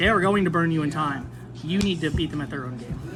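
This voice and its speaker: Talking very fast, a man swings his pitch very widely over noticeable background noise. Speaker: competitive card game player. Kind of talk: deck profile interview. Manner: hesitant fillers.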